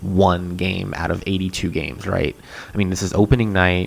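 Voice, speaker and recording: A soft-spoken man's very deep, low voice over noticeable background noise. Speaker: sports podcast host. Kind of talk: solo sports podcast talk. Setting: home, on a couch at night. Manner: soft-spoken, speaking quietly. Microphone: poor sound quality.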